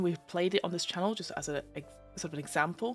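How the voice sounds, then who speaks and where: Music can be heard behind the speech. The woman talks at a very fast pace. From London. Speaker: voice-over artist, gamemaster, podcast host. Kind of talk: casual live-stream talk about tabletop games. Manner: chatty, informal, with many fillers.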